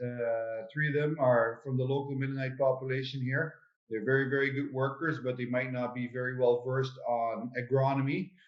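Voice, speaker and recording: A man with a Dutch accent, medium pitch, and fairly even intonation, at a moderate pace with hardly any pauses. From Netherlands. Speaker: potato farmer. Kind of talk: conference panel talk. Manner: halting, many fillers.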